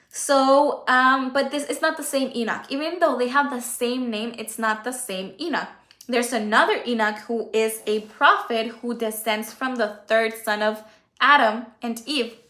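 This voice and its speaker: Speaking in a Spanish accent, a woman uses a high pitch with ordinary pitch variation. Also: moderate pace. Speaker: Bible teacher on livestream. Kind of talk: Bible study livestream. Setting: livestream. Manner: halting.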